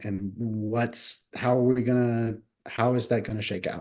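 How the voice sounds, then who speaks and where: Male voice of medium pitch over a quiet background. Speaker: government relations presenter. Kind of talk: presentation to city council. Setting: council meeting. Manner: halting, many fillers.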